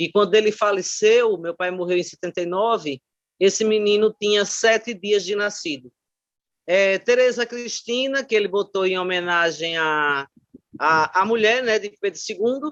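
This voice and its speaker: Recorded with a dry, close sound and no echo, a woman speaks at a moderate pace in a medium pitch with ordinary pitch variation. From Brazil, Aracaju (Sergipe). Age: 60s. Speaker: retired teacher and education scholar. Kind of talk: oral history interview testimony. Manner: hesitant, with frequent fillers.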